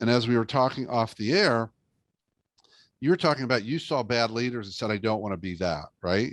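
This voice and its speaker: Over a quiet background, a man with a normal speaking voice talks fairly quickly at a medium pitch, with ordinary pitch variation. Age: 60s. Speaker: leadership speaker and author. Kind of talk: interview podcast conversation.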